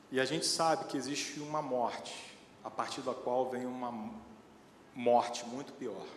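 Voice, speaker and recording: Over noticeable background noise and audible room echo, the speech goes at a fairly slow pace with fairly even intonation and long, frequent pauses. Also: man, medium pitch for a man. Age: 40s. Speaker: lay preacher. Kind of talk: sermon.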